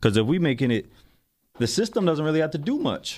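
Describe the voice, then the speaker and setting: A fairly high-pitched man talks at a fairly quick pace in an animated tone, with vocal fry and very wide pitch swings. The recording is very clean, with a silent background. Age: 30s. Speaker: podcast host. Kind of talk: solo commentary podcast.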